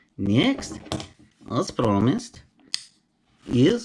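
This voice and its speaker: Someone speaks at a very slow pace with a Romanian accent. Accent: Romanian accent, noticeable. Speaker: knife collector YouTuber, carpenter. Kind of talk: unboxing video. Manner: casual, chatty.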